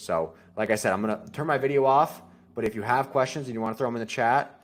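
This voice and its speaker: A man's medium-pitched voice moves at a fairly quick pace with ordinary pitch variation. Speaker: web design agency principal giving a webinar. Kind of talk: webinar presentation. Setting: online webinar recording. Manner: fast; casual, filler-heavy.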